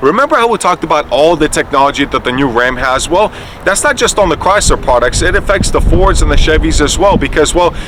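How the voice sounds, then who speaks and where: Very fast and animated, the speech has lively intonation and very even loudness over noticeable background noise. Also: man, high pitch for a man. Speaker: car reviewer. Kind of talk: casual review while driving. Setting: in a car.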